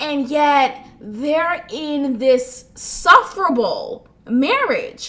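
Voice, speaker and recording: A woman's raised, projected, high voice, animated in tone, with very wide pitch swings. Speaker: podcast host. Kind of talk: casual commentary monologue. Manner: laughs often while talking.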